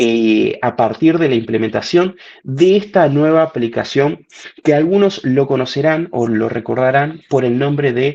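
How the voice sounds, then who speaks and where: This man has a fairly high pitch and a dark, mellow tone, speaking at a fairly slow pace. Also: ordinary pitch variation. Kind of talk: webinar presentation. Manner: animated.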